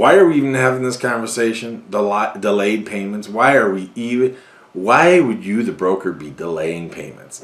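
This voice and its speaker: Against noticeable background noise, a man speaks at a fairly low pitch in an animated tone with lively intonation. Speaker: NEMT industry commentator. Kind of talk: commentary on a broker letter. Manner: animated, sarcastic.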